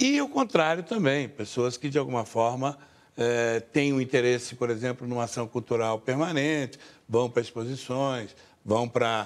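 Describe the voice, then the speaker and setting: On a very clean recording with a silent background, a man with an unremarkable speaking voice talks at a medium pitch and a fairly slow pace. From Rio de Janeiro state, Brazil. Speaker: cultural institution director. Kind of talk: TV interview.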